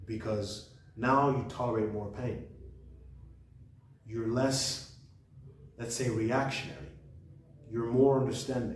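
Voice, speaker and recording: Amid noticeable background noise and audible room echo, a man speaks at medium pitch with fairly even intonation, at a fairly slow pace with long, frequent pauses. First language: French. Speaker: book reviewer, channel host. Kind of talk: casual monologue book review. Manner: halting, with repetitions and restarts.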